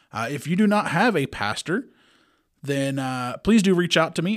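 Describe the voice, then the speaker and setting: A man with a Kentucky accent speaks with lively intonation in a very clean recording with a silent background. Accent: Southern US (Kentucky). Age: 30s. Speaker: podcast host, lay Bible teacher. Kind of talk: religious podcast monologue. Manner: casual, with fillers.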